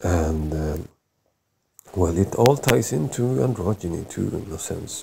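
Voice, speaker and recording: A man's very deep, low voice with a non-native accent and lively intonation, fairly slow in pace, with music in the background. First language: not English. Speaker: vlogger. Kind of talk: educational monologue. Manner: halting, many fillers.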